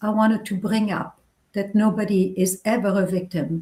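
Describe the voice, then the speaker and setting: A somewhat breathy woman's voice at medium pitch with fairly even intonation. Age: 60s. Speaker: novelist. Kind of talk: interview.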